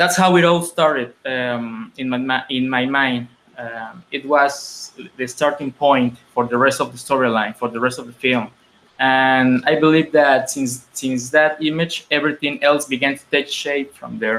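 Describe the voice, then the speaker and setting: A man's medium-pitched, fairly slow speech in a Spanish accent, with fairly even intonation and big swings in loudness. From Mexico. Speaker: filmmaker. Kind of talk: interview. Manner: halting, many repetitions and fillers.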